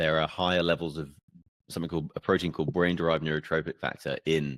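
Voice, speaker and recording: In an English accent, a man talks in a very deep, low, monotone voice with a dry, close sound and no echo. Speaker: podcast host. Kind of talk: podcast interview questions.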